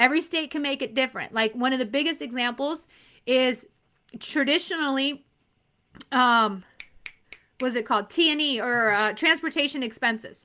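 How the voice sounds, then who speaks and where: Animated and projected, a woman speaks at a moderate pace with long, frequent pauses, her high, bright, sharp voice varying in pitch in an ordinary way, in a very clean recording against a silent background. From Arizona. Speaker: insurance exam coach. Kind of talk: live stream Q&A. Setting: live stream.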